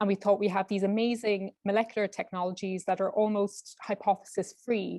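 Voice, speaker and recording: With an Irish accent, a woman speaks at a fairly quick pace and a medium pitch with hardly any pauses, a dark, mellow tone and monotone, flat intonation, the sound dry and close with no echo. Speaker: clinical research fellow, PhD student. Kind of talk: webinar presentation.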